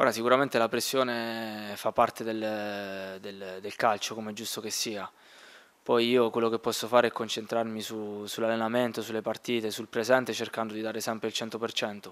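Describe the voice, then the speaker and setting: With big swings in loudness, a man talks in a monotone, flat intonation. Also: medium pitch for a man, moderate pace. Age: 20s. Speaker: footballer. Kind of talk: press conference. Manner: halting. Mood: calm, measured. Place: meeting room. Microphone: podium.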